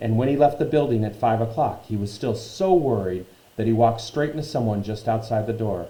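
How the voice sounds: This is a natural reading voice. Pitch varies in an ordinary way.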